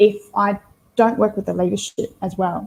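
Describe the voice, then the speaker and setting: A woman speaks in a somewhat breathy voice. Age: 30s. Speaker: team leadership coach. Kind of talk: interview answer.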